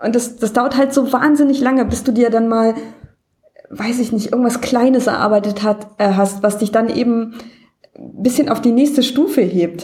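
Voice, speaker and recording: Here is a normal speaking voice. Its pace is moderate, and its pitch variation ordinary. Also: woman, fairly high pitch for a woman. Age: 30s. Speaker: caller. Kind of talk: casual chat.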